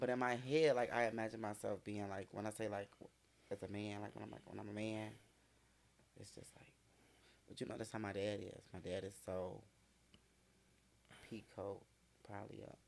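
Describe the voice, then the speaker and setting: The voice belongs to a man. He keeps a moderate tempo. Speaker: client in a shop. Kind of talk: casual chat. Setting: shop. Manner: animated.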